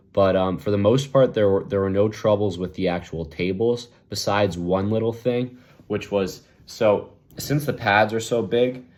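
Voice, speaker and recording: A man's plain, everyday voice at a fairly low pitch, with ordinary pitch variation and a moderate pace. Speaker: arm wrestler and video blogger. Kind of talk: casual vlog review.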